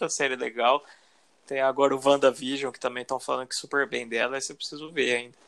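A man talks very fast at a medium pitch, his intonation monotone and flat. His loudness swings widely. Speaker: podcast co-host. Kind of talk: casual chat.

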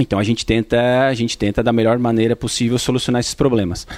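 Dry, close sound with no echo from a man at a medium pitch on a very clean recording with a silent background. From Tubarão, Santa Catarina, southern Brazil. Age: 30s. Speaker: shop owner and agronomist. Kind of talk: interview. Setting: in a shop. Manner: halting, many repetitions.

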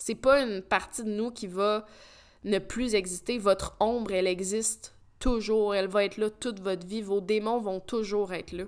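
Speaking in a Quebec accent, a woman of medium pitch keeps a moderate pace and a monotone, flat intonation. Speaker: podcast host. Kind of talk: personal monologue. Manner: hesitant.

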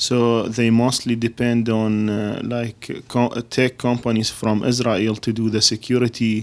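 The recording is very clean, with a silent background. A man of medium pitch speaks at a fairly slow pace in a monotone, flat way, with hardly any pauses. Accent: Arabic. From Iraq. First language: Arabic. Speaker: podcast co-host. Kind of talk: casual interview.

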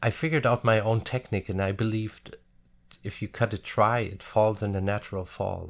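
A man's fairly low voice, fairly quick and fairly even in intonation, over a quiet background. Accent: German. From Germany, village near Frankfurt am Main. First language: German. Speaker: hairdresser. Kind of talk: interview. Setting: studio. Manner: halting.

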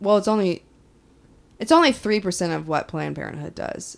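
A woman with an American accent speaks fairly quickly in a plain, everyday voice with ordinary pitch variation, on a very clean recording with a silent background. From Kansas. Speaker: podcast co-host. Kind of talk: casual chat.

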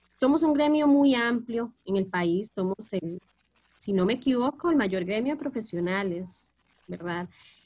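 A woman talks at a fairly slow pace in a fairly high voice with lively intonation. Hers is an unremarkable speaking voice. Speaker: teacher, podcast co-host. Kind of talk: casual panel discussion.

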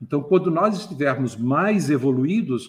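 The man's intonation is lively and his pitch fairly high. His voice is somewhat breathy. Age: 60s. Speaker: retired IT professional and ufology enthusiast. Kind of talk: casual chat.

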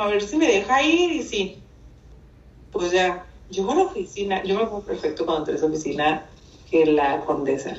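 With a northern Mexican accent, the speaker moves at a fairly quick pace through very wide pitch swings. The recording has noticeable background noise and audible room echo. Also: woman. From northern Mexico (Mexicali, Baja California). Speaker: communication and image consultant. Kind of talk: casual chat.

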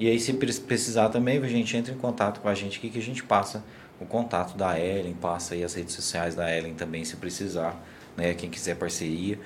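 A man with a plain, everyday voice talks at a fairly quick pace, his pitch fairly low with ordinary variation. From Goiás, Brazil (Morrinhos). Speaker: podcast host. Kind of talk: casual interview. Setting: studio, livestream.

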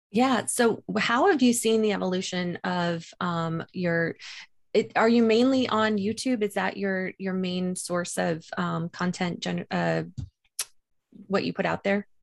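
Against a quiet background, a woman talks at a fairly slow pace. Her pitch is medium with ordinary variation. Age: 40s. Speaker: podcast host. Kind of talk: casual interview chat. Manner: animated.

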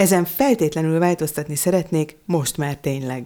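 A fairly low-pitched woman's voice with a dark, mellow tone and ordinary pitch variation comes through in a very clean recording with a silent background. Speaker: content designer. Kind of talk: casual chat.

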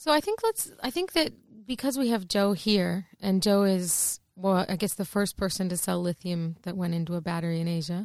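Recorded very cleanly against a silent background, a plain, everyday voice with an American accent speaks at a moderate pace with ordinary pitch variation. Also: woman, medium pitch for a woman. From US. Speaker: podcast co-host. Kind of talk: casual interview chat. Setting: studio.

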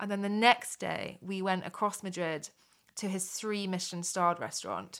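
A woman with a British accent at a medium pitch. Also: moderate pace. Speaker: podcast co-host. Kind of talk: casual chat. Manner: chatty, animated.

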